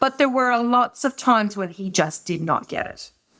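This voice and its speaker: With an Irish accent, a woman talks at a moderate pace in a fairly high voice with lively intonation. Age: 50s. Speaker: business executive. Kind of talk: podcast interview.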